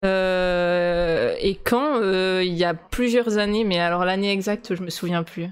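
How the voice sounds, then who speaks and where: Speaking very slowly, a woman barely pauses at all. Her medium-pitched voice keeps a fairly even intonation. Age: 20s. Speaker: video game developer. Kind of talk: casual interview. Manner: hesitant, many fillers.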